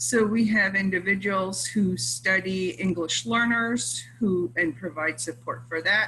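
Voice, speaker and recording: Speaking at a fairly slow pace with hardly any pauses, a woman at medium pitch moves through very wide pitch swings over noticeable background noise. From Scotland. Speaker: professor. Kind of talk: casual chat.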